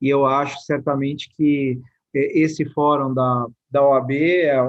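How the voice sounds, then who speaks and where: In a São Paulo accent, a man with a fairly high pitch talks in a flat, monotone way. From São Paulo, Brazil. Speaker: state infrastructure secretary. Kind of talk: presentation. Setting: live online event. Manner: formal.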